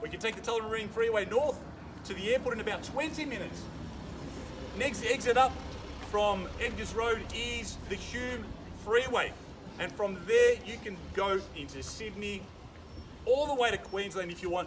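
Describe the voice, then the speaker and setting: A man with a high voice talks at a moderate pace, leaving long, frequent pauses over noticeable background noise. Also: ordinary pitch variation. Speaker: auctioneer. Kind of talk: live property auction, auctioneer's patter to a crowd. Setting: outdoors at a property auction, addressing a crowd.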